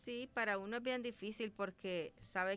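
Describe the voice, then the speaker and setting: Using a plain, everyday voice, a woman speaks at a fairly slow pace. Her pitch is fairly high and her intonation fairly even. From El Salvador, Ahuachapán. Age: 30s. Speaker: doctor. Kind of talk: radio interview.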